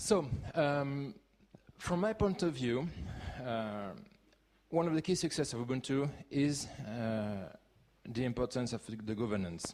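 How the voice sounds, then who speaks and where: Speaking with a French accent, a man uses a medium pitch and very wide pitch swings at a fairly slow pace with long, frequent pauses. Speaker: conference speaker, open-source community leader. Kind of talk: conference talk. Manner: halting, with many fillers.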